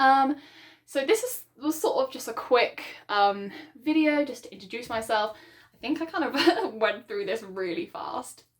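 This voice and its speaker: With a British accent, a woman talks at a high pitch with very wide pitch swings. Her loudness also swings widely. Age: 20s. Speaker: book vlogger. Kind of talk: casual vlog monologue. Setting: home book room, video recording. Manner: fast; hesitant, many ums.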